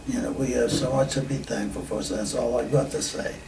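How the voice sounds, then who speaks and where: Recorded with noticeable background noise and audible room echo, a man is speaking. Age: 80s+. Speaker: war veteran. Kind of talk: oral history interview. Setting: reunion. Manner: halting.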